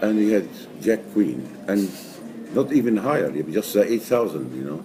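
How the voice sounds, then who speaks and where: A man speaks at a fairly low pitch with very wide pitch swings. Background noise is noticeable. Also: moderate pace. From Egypt. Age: 70s. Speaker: amateur poker player. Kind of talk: interview. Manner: halting.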